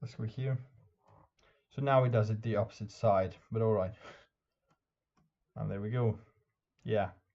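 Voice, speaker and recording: A man with a Norwegian accent speaks at a moderate pace and a fairly low pitch, somewhat breathy. His intonation is fairly even, broken by long, frequent pauses. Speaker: chess YouTuber and streamer. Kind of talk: tutorial. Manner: halting.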